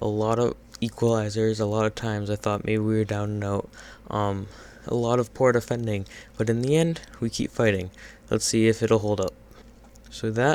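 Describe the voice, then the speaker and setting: A quiet man's voice at a fairly low pitch, with fairly even intonation and long, frequent pauses. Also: moderate pace. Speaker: gaming youtuber. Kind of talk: gameplay commentary. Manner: hesitant, many fillers.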